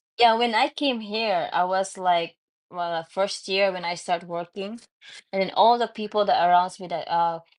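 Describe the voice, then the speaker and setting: Against a quiet background, a woman with a Filipino accent talks at a moderate pace with fairly even intonation. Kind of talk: casual chat. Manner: halting.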